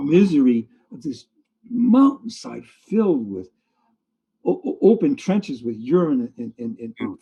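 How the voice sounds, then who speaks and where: Against music in the background, the speaker goes fairly slowly with very wide pitch swings. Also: man. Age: 80s+. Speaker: fantasy artist. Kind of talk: interview answer. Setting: video call. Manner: lively.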